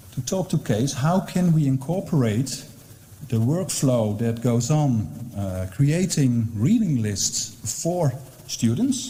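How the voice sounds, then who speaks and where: Speaking very slowly, a man with a medium-pitched voice uses lively intonation, with audible room echo and noticeable background noise. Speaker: university librarian. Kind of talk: conference presentation. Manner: hesitant, many fillers.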